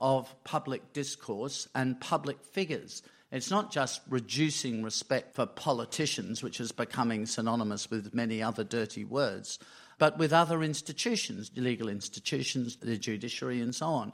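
With an Australian accent, this voice moves at a moderate pace with lively intonation in a very clean recording with a silent background. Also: man, medium pitch for a man. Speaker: diplomat and former foreign minister. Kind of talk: panel discussion. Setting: stage with live audience.

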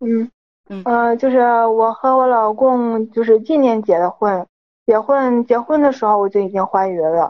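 Pitch variation is ordinary. The pace is moderate. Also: woman, fairly high pitch for a woman. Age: 20s. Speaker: caller. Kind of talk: advice call-in. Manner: halting.

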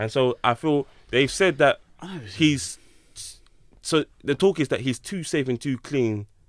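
On a very clean recording with a silent background, a man talks at a fairly slow pace with ordinary pitch variation, and the sound is dry and close with no echo. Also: long, frequent pauses. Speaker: podcast host. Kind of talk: casual chat. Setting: studio.

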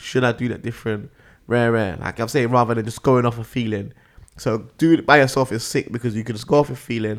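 In a London accent, a man talks at a very fast pace with medium pitch and fairly even intonation. The recording is very clean, with a silent background. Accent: London, multicultural London English. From northwest London. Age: 30s. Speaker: grime MC. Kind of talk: casual interview chat.

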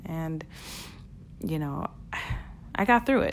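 Her accent is American. This woman's intonation rises and falls in a lively way. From Brooklyn, New York (Flatbush). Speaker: podcast host, e-commerce entrepreneur. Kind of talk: solo podcast monologue. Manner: animated.

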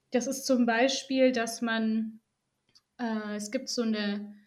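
This woman speaks at a high pitch. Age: 20s. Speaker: physiotherapist. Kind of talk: podcast interview.

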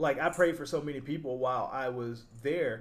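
A man talks in an unremarkable speaking voice with fairly even intonation. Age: 20s. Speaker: podcast host. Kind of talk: casual chat.

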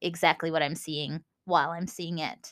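In a Minnesotan accent, the speaker sounds enthusiastic, with a bright, sharp tone at a moderate pace. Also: woman. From US Minnesota. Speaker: podcast host. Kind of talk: solo podcast monologue, educational chat. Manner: casual, enthusiastic.

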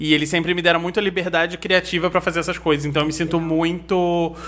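Very fast pace over noticeable background noise. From Nova Friburgo, Rio de Janeiro state, Brazil. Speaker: novelist. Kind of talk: casual interview.

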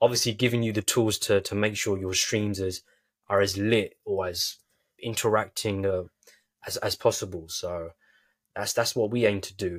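A man with a British accent speaks in a fairly low pitch, somewhat breathy, with fairly even intonation. The recording is very clean with a silent background. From United Kingdom. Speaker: podcast host and business founder. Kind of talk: interview.

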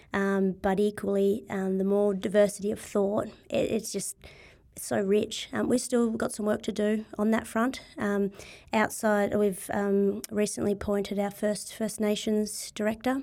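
A woman's dark, mellow voice at medium pitch, fairly even in intonation, with an Australian accent, on a very clean recording against a silent background. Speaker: sports body CEO. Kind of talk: casual interview.

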